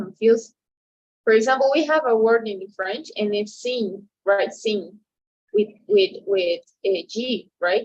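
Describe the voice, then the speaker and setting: A woman's fairly high voice in a Spanish accent, at a very slow pace, with ordinary pitch variation. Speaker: translation student. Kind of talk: casual chat. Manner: halting, with many repetitions and fillers.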